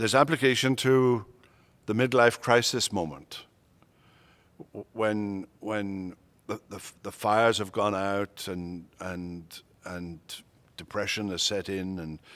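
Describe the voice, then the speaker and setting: With a Welsh accent, a man speaks at a very slow pace and fairly low pitch, with ordinary pitch variation, long and frequent pauses, and big swings in loudness, in a very clean recording with a silent background. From Wales. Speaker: retired pastor and seminary professor. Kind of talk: interview conversation. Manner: halting, many repetitions.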